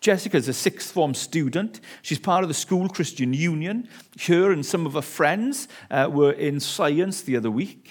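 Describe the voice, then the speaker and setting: Recorded very cleanly against a silent background, a man speaks at a moderate pace with a high pitch and lively intonation. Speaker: visiting preacher. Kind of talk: sermon. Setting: church.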